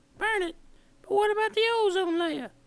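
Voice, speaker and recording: In a put-on character voice, a woman squeaks at an extremely high pitch and keeps a moderate pace. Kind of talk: comic infomercial testimonial. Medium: comedy sketch.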